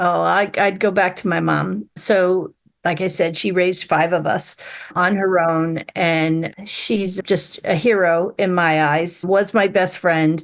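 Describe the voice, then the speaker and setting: A woman's fairly low voice with an American accent, very slow pace, fairly even intonation and very even loudness. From Long Island, New York. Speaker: business executive. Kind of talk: interview. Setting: video call.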